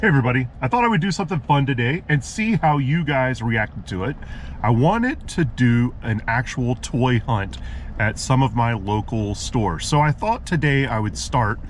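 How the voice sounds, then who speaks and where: A man at a moderate pace, dry sound with no echo, light background noise behind him. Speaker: toy channel host. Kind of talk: casual vlog chat. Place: car. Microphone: phone near.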